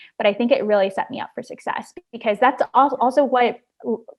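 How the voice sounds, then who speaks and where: A woman speaks in a Chicago accent. Her pitch is fairly high and her intonation fairly even. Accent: Chicago American English. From Chicago, northwest side (US Midwest). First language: Spanish. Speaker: journalist and podcast host. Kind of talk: interview conversation.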